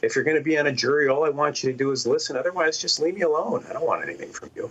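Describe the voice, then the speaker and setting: Noticeable background noise behind a man's voice with an American accent. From Detroit, US Midwest. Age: 60s. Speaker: criminal defense lawyer. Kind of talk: interview. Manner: halting.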